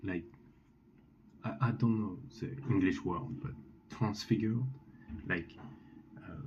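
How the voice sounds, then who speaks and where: A man with a French accent talks at a moderate pace with long, frequent pauses, lively intonation, a fairly low pitch and big swings in loudness, in audible room echo. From France. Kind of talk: testimony. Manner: halting, many fillers and restarts.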